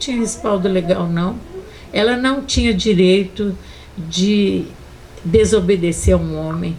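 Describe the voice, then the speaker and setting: Audible room echo carries the voice. A woman speaks at a fairly slow pace. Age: 70s. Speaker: feminist activist. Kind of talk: panel debate. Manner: animated.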